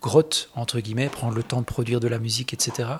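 A somewhat breathy man's voice of medium pitch, flat and monotone in intonation. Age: 40s. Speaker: guitarist. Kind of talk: interview.

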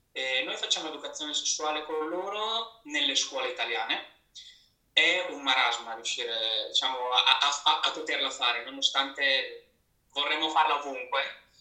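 Audible room echo surrounds this delivery at a moderate pace with ordinary pitch variation. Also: man, fairly high pitch for a man. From Italy, Rimini (Emilia-Romagna). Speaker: marketing manager. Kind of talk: live interview. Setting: Instagram live stream.

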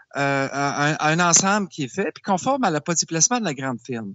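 A man speaks at a high pitch. His voice moves in very wide pitch swings. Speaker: portfolio manager. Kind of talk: interview. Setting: Skype call. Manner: passionate.

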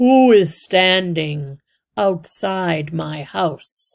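A resonant, put-on character voice at a middle pitch and a very slow pace.

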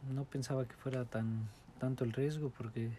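Somewhat breathy and dark, mellow in tone, the voice keeps a monotone, flat intonation at a moderate pace. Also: man. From Morelos, Mexico. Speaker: immigrant interviewee. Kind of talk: interview. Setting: at home.

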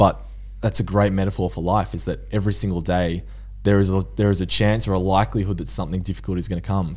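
Talking very fast in an Australian accent, a man has a fairly low pitch, a dark, mellow tone, and fairly even intonation. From Australia, Mornington Peninsula (Victoria). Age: 20s. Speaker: mental resilience advocate. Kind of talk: podcast interview. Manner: casual.

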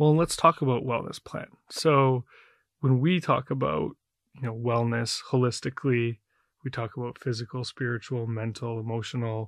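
A man with an ordinary speaking voice, medium pitch, ordinary pitch variation and a moderate pace, on a very clean, dry, close recording with no echo and a silent background. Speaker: podcast host. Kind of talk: interview, warm and conversational.

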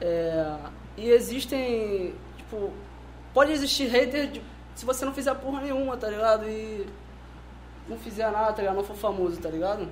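Over noticeable background noise and audible room echo, a man with a high voice speaks at a moderate pace with ordinary pitch variation, big swings in loudness, and long, frequent pauses. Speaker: rapper and music producer. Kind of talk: casual chat.

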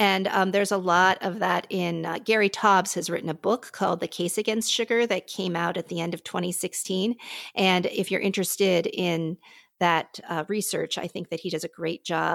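A woman with an American accent, fairly low pitch, vocal fry, fairly even intonation, a moderate pace, and a dry, close sound with no echo. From US, Pittsburgh. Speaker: physician. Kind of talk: interview conversation. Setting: remote call from her living room.

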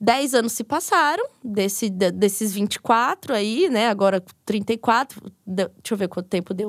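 An unremarkable speaking voice moves at a fairly slow pace, with a dry, close sound with no echo, on a very clean recording with a silent background. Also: woman. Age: 30s. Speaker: podcaster and psychology student. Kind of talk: casual chat.

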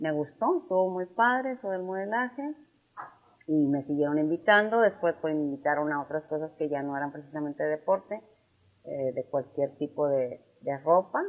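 With lively intonation and a very deep, low pitch, a woman speaks at a moderate pace. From Tamaulipas, Mexico (San Fernando). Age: 50s. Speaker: businesswoman and former beauty queen. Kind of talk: interview.

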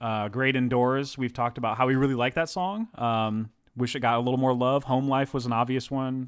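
A plain, everyday voice comes through with an American accent. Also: man, medium pitch for a man, fairly even intonation. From Texas. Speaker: podcast co-host. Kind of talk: casual chat.

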